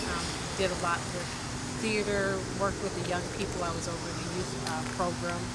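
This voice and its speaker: A woman talks at a fairly quick pace over loud background noise, the sound dry with no echo. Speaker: church member and lay preacher. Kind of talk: personal testimony. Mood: calm, reflective. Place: street.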